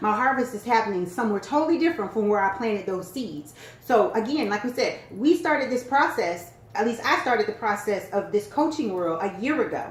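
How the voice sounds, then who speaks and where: Woman with a fairly high pitch, animated tone and lively intonation at a fairly quick pace, over noticeable background noise. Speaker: business and sales coach. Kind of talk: casual chat. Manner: fast.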